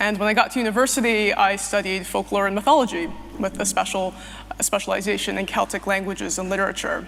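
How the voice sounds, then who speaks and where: Over noticeable background noise, a woman talks very fast. Her pitch is medium and her intonation fairly even. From US Northeast, New Jersey. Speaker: activist and writer. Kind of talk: testimony speech.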